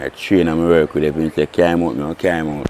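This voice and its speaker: The speech moves at a moderate pace with fairly even intonation, the sound dry with no echo and some light background noise. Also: man. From Jamaica. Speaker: racehorse groom. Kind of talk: interview. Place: open country. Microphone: lapel.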